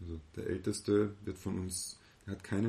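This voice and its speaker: A man's fairly low, somewhat breathy voice. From Austria, moved from eastern Germany as a child. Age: 30s. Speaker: business consultant and seminar leader. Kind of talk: casual interview.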